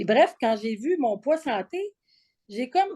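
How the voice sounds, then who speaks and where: A woman with a Quebec accent speaks in a dark, mellow tone. Her intonation is lively. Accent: Québécois French. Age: 60s. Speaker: program participant. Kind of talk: testimony; interview. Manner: halting, frequent repetitions and fillers.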